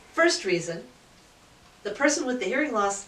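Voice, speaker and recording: A woman speaks loudly. Her voice carries audible room echo over noticeable background noise. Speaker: audiologist. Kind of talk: casual chat.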